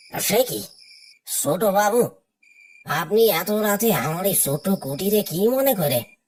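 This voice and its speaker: Cartoonish character voice at a middle pitch and moderate pace. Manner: deferential, warning.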